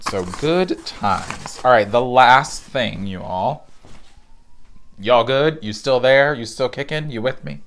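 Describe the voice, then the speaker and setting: Speaking at a fairly slow pace, a man uses lively intonation at medium pitch. His volume swings a lot, and background noise is noticeable. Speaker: knitting podcaster. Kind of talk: casual chat.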